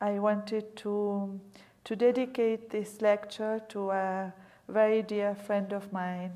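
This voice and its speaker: A woman with a non-native accent speaks very slowly at medium pitch, in a flat, monotone way, with audible room echo around her. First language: not English. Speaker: museum director, guest lecturer. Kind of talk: lecture. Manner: reading aloud from prepared text.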